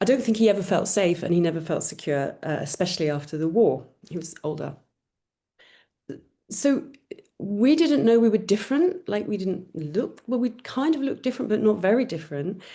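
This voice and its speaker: A woman talks fairly quickly at medium pitch, her dark, mellow, somewhat breathy voice making very wide pitch swings. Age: 60s. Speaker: adoptive parent, panel guest. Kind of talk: panel talk. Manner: halting.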